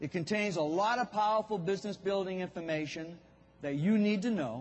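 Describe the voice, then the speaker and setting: A man's fairly quick, high-pitched voice with a Boston accent and ordinary pitch variation. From Boston, US New England. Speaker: business speaker for contractors. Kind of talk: keynote speech. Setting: stage with audience.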